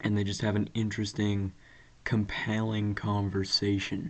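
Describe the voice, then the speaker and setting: The man's pitch is fairly low and his intonation fairly even. He talks at a fairly slow pace. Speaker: podcast host. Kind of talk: casual solo monologue. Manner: monotone; casual with many fillers.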